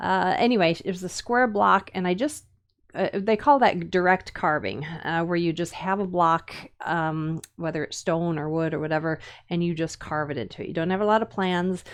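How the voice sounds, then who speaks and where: This woman speaks at a moderate pace with a Minnesotan accent and a fairly low pitch. Her pitch variation is ordinary, and the background is quiet. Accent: Minnesota. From US Upper Midwest (Minnesota, Wisconsin). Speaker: woodcarving teacher. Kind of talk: live-stream tutorial. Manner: casual, many fillers and hesitations.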